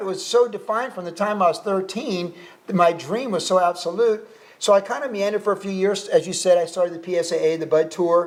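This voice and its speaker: Over noticeable background noise, a man with an American accent talks at a fairly quick pace in a high pitch. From California. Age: 60s. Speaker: pro surfer turned pastor and author. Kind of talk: casual interview chat.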